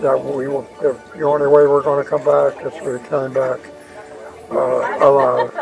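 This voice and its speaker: A man talks at a fairly slow pace while clear music plays behind him. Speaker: war veteran. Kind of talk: interview answer. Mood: solemn, grateful. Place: market. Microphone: phone near.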